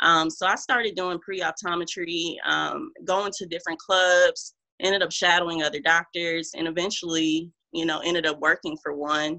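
An ordinary speaking voice with an American accent keeps a moderate pace and fairly even intonation. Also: woman, fairly low pitch for a woman. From Omaha, Nebraska. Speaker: optometrist. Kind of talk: casual chat.

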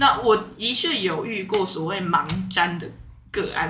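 A woman of medium pitch speaks with lively intonation. Audible room echo and noticeable background noise surround her voice. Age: 30s. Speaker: tarot reader and aromatherapist. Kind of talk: casual chat.

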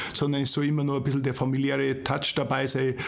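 Noticeable background noise and audible room echo around a fairly high male voice moving at a fairly quick pace. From Ingolstadt, Bavaria. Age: 40s. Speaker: managing director. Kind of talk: casual interview. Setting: studio.

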